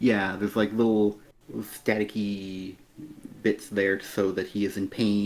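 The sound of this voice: Someone reads aloud in an unforced voice.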